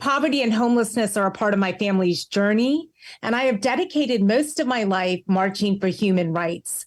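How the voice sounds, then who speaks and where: At a fairly quick pace, a woman speaks with lively intonation, a fairly high pitch and very even loudness in a very clean recording with a silent background. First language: Tamil. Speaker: professor and homelessness advocate. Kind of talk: podcast interview.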